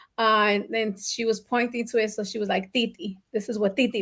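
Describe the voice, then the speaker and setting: Fairly high in pitch, a woman with an unremarkable speaking voice talks at a fairly quick pace. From Colombian family, raised in New Jersey/New York. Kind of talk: casual talk show conversation.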